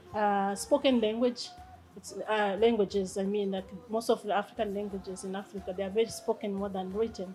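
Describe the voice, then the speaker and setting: A woman's flat, monotone voice at a fairly quick pace, with big swings in loudness. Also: medium pitch for a woman. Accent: Rwandan. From Rwanda. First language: Kinyarwanda. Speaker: language teacher and translator. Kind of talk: interview. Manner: halting, with many fillers.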